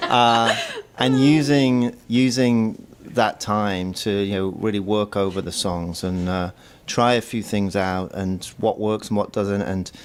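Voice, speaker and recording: A man with a British accent speaks at a very slow pace, his pitch varying in an ordinary way. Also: fairly low pitch for a man. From northern England, Manchester. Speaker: musician. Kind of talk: interview. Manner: halting.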